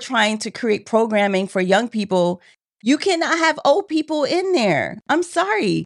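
A woman speaks fairly slowly at a fairly high pitch with lively intonation, in a plain, everyday voice. The background is quiet. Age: 30s. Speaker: podcast co-host. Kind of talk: casual chat.

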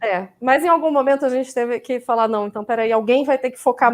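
A woman speaks in a plain, everyday voice at a fairly quick pace. Her pitch is fairly high, with ordinary pitch variation. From Campinas, São Paulo state, Brazil. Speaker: vegan food professional. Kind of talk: live stream conversation.

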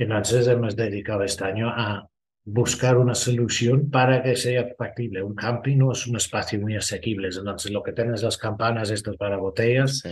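The speaker sounds somewhat breathy, keeping a moderate pace and fairly even intonation. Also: man, medium pitch for a man. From Ireland. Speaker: festival sustainability manager. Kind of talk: interview.

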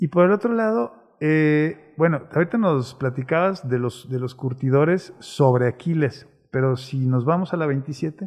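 A man with an ordinary speaking voice talks at a fairly slow pace, using lively intonation and a fairly high pitch. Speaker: city chronicler and show host. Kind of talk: conversational interview.

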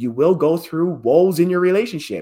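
A man talks at a fairly quick pace in a high pitch. The recording is very clean with a silent background. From Hawaii. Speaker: real estate investor. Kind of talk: podcast interview.

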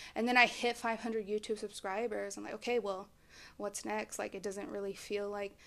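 A woman with an American accent has a plain, everyday voice, a fairly high pitch, and ordinary pitch variation. She speaks at a fairly quick pace in a very clean recording with a silent background. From Texas, Dallas-Fort Worth. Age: 20s. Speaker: podcast host, life coach. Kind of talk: casual chat.

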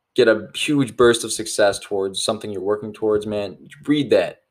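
Here is a man with an ordinary speaking voice, medium in pitch. He talks at a moderate pace with ordinary pitch variation. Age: 20s. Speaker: podcast host and young entrepreneur. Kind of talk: casual solo podcast monologue. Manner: informal with many fillers.

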